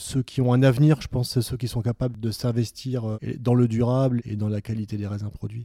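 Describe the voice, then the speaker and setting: A man with a medium-pitched, dark and mellow voice speaks in a flat monotone with hardly any pauses. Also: dry, close sound with no echo, very clean recording, silent background. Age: 50s. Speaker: winegrower. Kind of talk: interview. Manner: halting.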